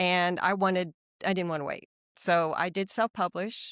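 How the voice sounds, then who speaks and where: A woman with an American accent speaks in a normal speaking voice at a fairly low pitch. Her intonation is fairly even, and the sound is dry and close with no echo. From US Midwest, small-town Ohio. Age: 60s. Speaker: author. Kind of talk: podcast interview.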